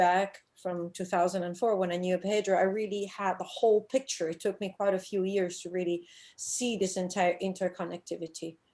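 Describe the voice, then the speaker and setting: Speaking in an Italian accent, a woman at medium pitch moves at a fairly quick pace with hardly any pauses and fairly even intonation, on a very clean recording with a silent background. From Italy. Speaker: scuba diving instructor and shark diver. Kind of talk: conference presentation. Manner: hesitant, with frequent fillers.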